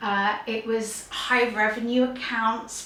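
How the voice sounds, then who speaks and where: A woman with a Gujarati accent speaks at a fairly high pitch in a monotone, flat intonation. Noticeable background noise and audible room echo surround her voice. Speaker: YouTuber sharing career story. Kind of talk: personal storytelling monologue.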